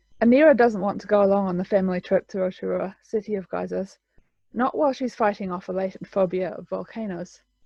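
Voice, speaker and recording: With a New Zealand accent, a woman speaks at a very fast pace in a medium pitch with ordinary pitch variation. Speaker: author. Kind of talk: casual talk to camera; reading aloud.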